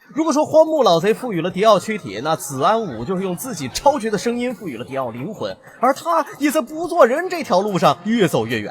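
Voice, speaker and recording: A man talks at a fairly quick pace in a high pitch, his voice swinging very widely up and down. Noticeable background noise runs underneath. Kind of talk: anime commentary narration. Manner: humorous, casual.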